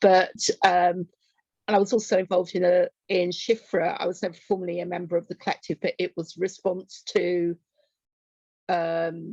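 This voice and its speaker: A woman talks at a medium pitch in a monotone, flat delivery with long, frequent pauses at a moderate pace. The sound is dry and close with no echo. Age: 60s. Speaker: activist and poet. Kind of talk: interview.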